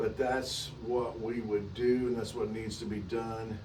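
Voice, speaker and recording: A man talks fairly slowly at medium pitch with a monotone, flat intonation, amid noticeable background noise and audible room echo. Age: 70s. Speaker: wooden boat restorer. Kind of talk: recorded video update to a client. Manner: halting, many fillers and repeats.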